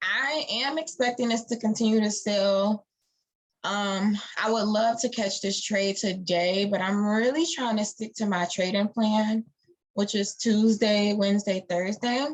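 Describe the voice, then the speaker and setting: This woman has an ordinary speaking voice, fairly high in pitch, with ordinary pitch variation and a fairly slow pace. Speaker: forex trader and educator. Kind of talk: live-streamed market analysis tutorial. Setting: live stream. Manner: casual, with many fillers.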